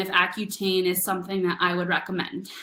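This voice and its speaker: A woman's bright, sharp, medium-pitched voice at a very fast pace, with audible room echo. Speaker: naturopathic doctor. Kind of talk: webinar presentation. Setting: online webinar.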